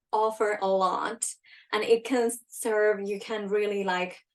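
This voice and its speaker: This woman speaks in a Finnish accent. Her pace is very slow. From Finland. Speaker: leadership coach. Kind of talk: live webinar talk. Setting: livestream. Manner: casual, with many fillers.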